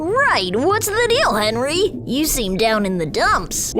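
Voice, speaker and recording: In a put-on character voice, a female-sounding speaker uses a high pitch at a fairly slow pace over clear background noise. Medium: audio drama. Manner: eager, bubbly.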